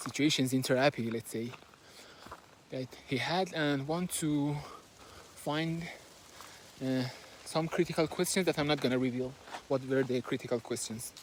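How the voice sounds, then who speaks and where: With a Persian accent, a man talks at a moderate pace and a fairly high pitch, his intonation fairly even and his pauses long and frequent. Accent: Persian accent, noticeable. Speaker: book reviewer. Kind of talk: book summary and analysis. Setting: recording while moving, handheld. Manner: halting, with fillers.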